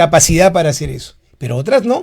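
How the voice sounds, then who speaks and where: Fairly quick pace from a male speaker. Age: 60s. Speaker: psychiatrist. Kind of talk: educational talk. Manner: rhetorical, engaging audience.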